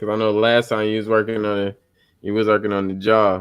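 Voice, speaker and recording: In a fairly low voice with an American accent, a man speaks at a fairly quick pace with monotone, flat intonation on a very clean recording with a silent background. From New York. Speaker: live stream host. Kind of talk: casual chat.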